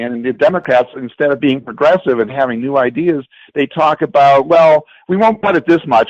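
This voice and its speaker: Recorded dry and close with no echo in a quiet background, a man with a plain, everyday voice talks at a fairly quick pace, his fairly high pitch carried by lively intonation. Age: 60s. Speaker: political activist, rally attendee. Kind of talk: political discussion.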